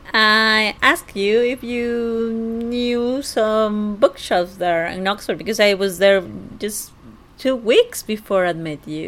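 A woman with a Spanish accent, fairly high-pitched, at a very slow pace and with ordinary pitch variation. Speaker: host's fiancée. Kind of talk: casual conversation.

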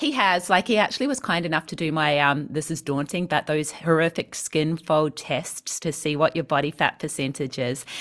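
The pace is moderate, with hardly any pauses. Pitch variation is ordinary. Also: woman, very deep, low pitch for a woman. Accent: New Zealand. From New Zealand. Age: 40s. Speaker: personal trainer and vegan health coach. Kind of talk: interview. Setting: video call.

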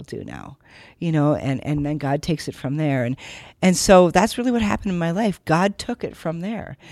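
A woman speaks with an American accent at a fairly low pitch. Her tone is animated and her pace fairly quick. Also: very clean recording, silent background. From US Midwest, Minnesota. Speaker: novelist and former missionary. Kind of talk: personal testimony in interview. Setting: in the same room.

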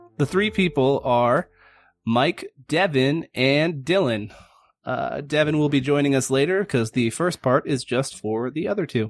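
A man with a normal speaking voice talks at a fairly slow pace. His pitch is fairly high, with ordinary variation. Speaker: game master. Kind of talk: casual tabletop roleplaying game podcast.

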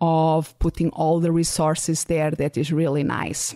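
A woman speaks at a fairly low pitch in a dark, mellow tone. Her pace is fairly slow, and the sound is dry and close with no echo. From Portugal. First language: Portuguese. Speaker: podcast host and business coach. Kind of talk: solo podcast monologue.

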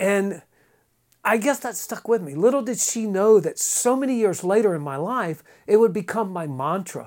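Lively intonation and big swings in loudness mark this speaker's moderate-paced delivery in a Southern US accent. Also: man, high pitch for a man. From eastern North Carolina. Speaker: actor. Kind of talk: casual chat. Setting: studio.

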